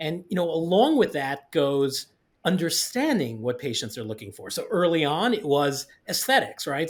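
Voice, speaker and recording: A man is speaking here. He keeps a moderate pace. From New York, Staten Island. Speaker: orthodontist and tech company CEO. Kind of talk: podcast interview. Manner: casual, talkative.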